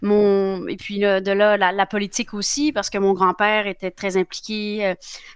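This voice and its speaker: A woman at a moderate pace with fairly even intonation, dry sound with no echo, and a quiet background. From Quebec, with early childhood in France. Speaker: politician. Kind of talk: interview. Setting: live show. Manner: halting, many fillers. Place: home room. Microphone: headset.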